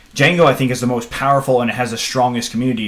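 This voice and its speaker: A man speaks very fast against noticeable background noise. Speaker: programming instructor. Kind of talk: live Q&A stream. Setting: live stream. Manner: animated.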